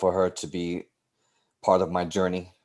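A man with a New York accent speaks in a very deep, low pitch at a moderate pace. His intonation is monotone and flat, over a quiet background. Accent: New York City. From New York City, South Bronx. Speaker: teacher and softball coach. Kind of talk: interview conversation.

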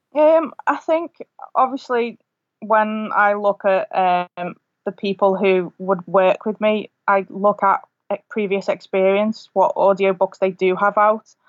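A woman with a Lancashire accent, medium pitch and ordinary pitch variation, at a fairly slow pace. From northern England, rural Lancashire between Preston and Liverpool. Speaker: author. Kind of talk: casual chat.

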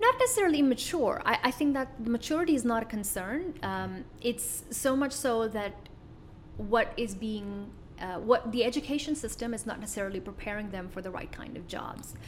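Lively in intonation and fairly high in pitch, a woman talks at a moderate pace with big swings in loudness over noticeable background noise. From Middle East (born in Kuwait). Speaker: business coach and entrepreneur. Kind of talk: interview.

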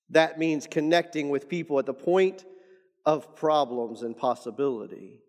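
A man's fairly high-pitched voice, an ordinary speaking voice, with ordinary pitch variation at a moderate pace. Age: 40s. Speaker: pastor and author. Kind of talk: podcast teaching monologue. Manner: repeats words often.

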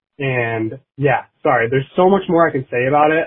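There is an unremarkable speaking voice from a man at a medium pitch. He talks at a moderate pace in an American accent. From Michigan. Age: young. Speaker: listener leaving voicemail. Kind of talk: voicemail message. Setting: phone voicemail.

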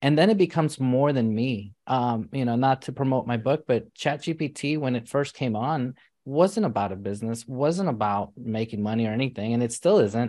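Against a quiet background, a man with an American accent speaks at a medium pitch in a dark, mellow tone. His pace is moderate with hardly any pauses, and his pitch varies in an ordinary way. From US Northeast (New York City). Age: 40s. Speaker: physician and entrepreneur. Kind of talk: interview. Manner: animated.

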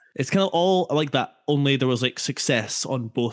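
Here a man talks with a Scottish accent. His pitch varies in an ordinary way. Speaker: podcast co-host. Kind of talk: casual football podcast chat. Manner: jokey, relaxed.

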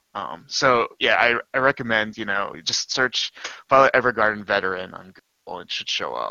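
A man with a medium-pitched, ordinary speaking voice talks at a moderate pace, his pitch varying in an ordinary way while his loudness swings widely. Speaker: anime podcast guest. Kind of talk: casual chat.

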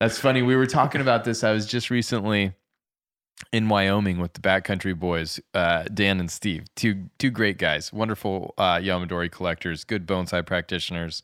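A man with an American accent speaks in a normal speaking voice at a moderate pace, his fairly low pitch showing ordinary variation, on a very clean recording with a silent background and a dry, close sound with no echo. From Colorado. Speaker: bonsai podcast host. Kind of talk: casual interview.

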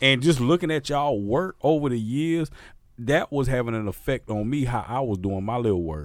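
The speech moves at a moderate pace in a Southern US accent. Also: man, medium pitch for a man, lively intonation. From Mississippi, US South. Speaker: podcast host and DJ. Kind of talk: casual chat. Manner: animated.

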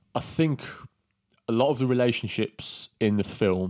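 A man with an English accent at a fairly slow pace, dry and close with no echo, on a very clean recording with a silent background. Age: 30s. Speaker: movie podcast co-host. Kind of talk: casual chat.

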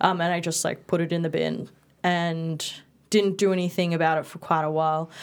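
On a very clean recording with a silent background, a woman with an Australian accent talks fairly quickly in a monotone, flat way at a fairly low pitch. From Perth, Western Australia (early childhood in Bali). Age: 20s. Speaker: dispute resolution officer and writer. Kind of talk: casual interview chat.

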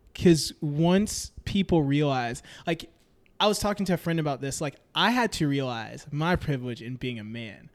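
An ordinary speaking voice with an American accent moves at a moderate pace. The recording is very clean, with a silent background. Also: man, fairly high pitch for a man. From Memphis, Tennessee, US South. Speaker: friend of the host. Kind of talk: casual chat.

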